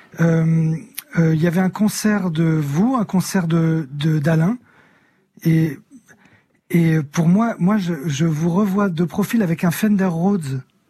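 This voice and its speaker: This man's voice is high in pitch and dark and mellow in tone, moving at a very slow pace with ordinary pitch variation and very even loudness. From northern France, near Amiens. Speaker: singer and illustrator. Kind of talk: radio interview.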